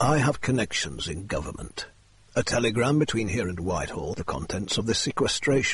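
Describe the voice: The voice is plain reading aloud. Its intonation is lively.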